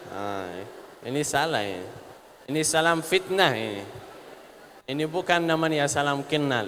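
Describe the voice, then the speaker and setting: A man with an Arabic accent speaks at a fairly slow pace and a fairly high pitch, with lively intonation. Long, frequent pauses break up his speech over noticeable background noise. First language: Arabic (speaking Indonesian). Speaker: religious speaker, sheikh. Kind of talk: religious talk to students. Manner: halting.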